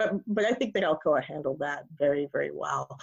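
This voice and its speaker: A woman speaks with a very deep, low pitch. Her pitch variation is ordinary. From New York City. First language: Spanish. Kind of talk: interview. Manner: halting.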